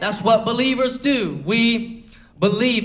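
A man speaks at an extremely high pitch with ordinary pitch variation. His pace is fairly slow, and there is noticeable background noise. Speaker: preacher. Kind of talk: sermon; rousing, fervent pulpit sermon with prayer and altar call. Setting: church. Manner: rhythmic, repetitive call-and-response style.

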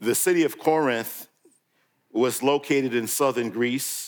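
This is an ordinary speaking voice: a man with an American accent, medium pitch and ordinary pitch variation. He speaks at a fairly slow pace on a very clean recording with a silent background. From New York. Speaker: guest preacher. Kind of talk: sermon.

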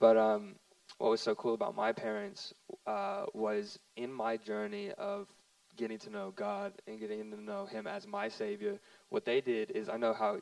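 Amid noticeable background noise, a man speaks at a moderate pace with big swings in loudness. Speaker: youth minister, pastor's son. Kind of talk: panel testimony in church service.

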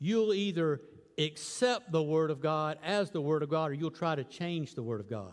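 Moderate speed and lively intonation from an unremarkable speaking voice. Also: man, fairly high pitch for a man. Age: 60s. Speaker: guest preacher. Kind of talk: sermon. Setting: church.

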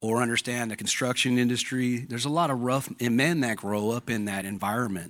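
With an American accent, a man talks at a medium pitch in a plain, everyday voice, his intonation fairly even on a very clean recording with a silent background. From Southern California. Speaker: church member, ex-convict. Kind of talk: testimony. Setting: church service with audience.

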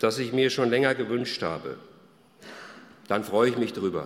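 With very wide pitch swings and vocal fry, a man talks in a space with audible room echo. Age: 60s. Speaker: pastor. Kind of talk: sermon.

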